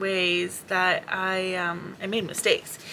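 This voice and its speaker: Her tone is bright and sharp. This woman speaks at a medium pitch. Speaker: vlogger. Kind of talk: casual vlog monologue. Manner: mumbling.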